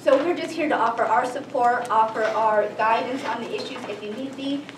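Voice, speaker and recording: Amid noticeable background noise and audible room echo, a woman speaks at a moderate pace in a fairly high voice with ordinary pitch variation. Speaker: state attorney general's office policy staff. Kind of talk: public meeting presentation. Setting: town council meeting. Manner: loud.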